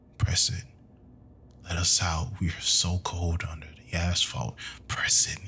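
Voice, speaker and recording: A man's whispered, put-on character voice, hissing, at a fairly slow pace with long, frequent pauses. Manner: whispering, flat, monotone.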